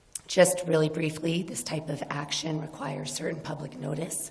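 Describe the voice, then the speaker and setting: A woman speaks at a moderate pace with a very deep, low pitch. Room echo can be heard. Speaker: city planning staff. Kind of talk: staff presentation at council meeting.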